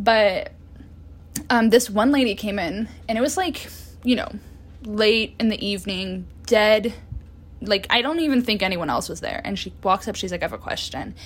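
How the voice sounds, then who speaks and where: Taking long, frequent pauses, a woman speaks in a somewhat breathy voice at a fairly high pitch. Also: ordinary pitch variation, moderate pace. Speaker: solo podcaster, astrology and tarot. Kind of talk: casual monologue. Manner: stuttering, unedited pauses; chatty.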